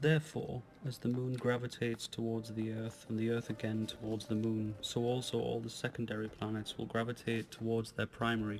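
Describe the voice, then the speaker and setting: Amid noticeable background noise, a man talks at a fairly quick pace with hardly any pauses, at a medium pitch and in a monotone, flat intonation. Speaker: ASMR audiobook reader. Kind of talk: ASMR book reading. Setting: home recording, handheld recorder. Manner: whispered.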